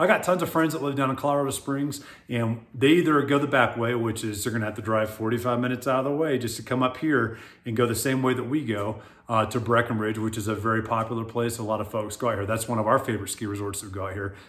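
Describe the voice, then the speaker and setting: The speech comes at a very fast pace with an American accent and ordinary pitch variation. Room echo is audible. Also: man, medium pitch for a man. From US South, South Florida. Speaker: real estate agent, retired military. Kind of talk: casual video monologue.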